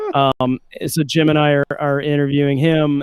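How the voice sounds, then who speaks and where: A man with a Southern US accent, medium pitch. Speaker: livestream co-host. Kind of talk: casual chat. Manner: halting, many fillers.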